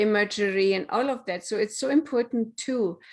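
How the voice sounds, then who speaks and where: A German accent at a moderate pace, with ordinary pitch variation. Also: woman. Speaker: business coach and author. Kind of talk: casual interview chat. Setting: live stream on social media.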